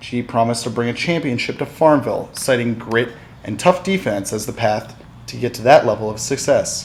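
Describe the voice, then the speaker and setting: Over noticeable background noise, a man talks at a fairly quick pace with ordinary pitch variation and big swings in loudness. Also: medium pitch for a man. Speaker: news and sports reporter. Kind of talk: broadcast news reporting. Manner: clear, professional news anchor delivery.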